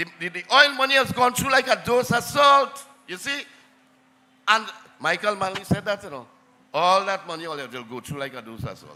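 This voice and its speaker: The voice is raised and projected, moving at a fairly quick pace with very wide pitch swings and big swings in loudness. Long, frequent pauses break up the speech. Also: man, high pitch for a man. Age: 70s. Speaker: local councillor. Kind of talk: political rally speech.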